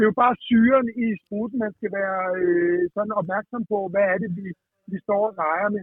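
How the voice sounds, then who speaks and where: This is a man with a high pitch. His intonation stays fairly even. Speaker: pub owner. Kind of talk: casual chat.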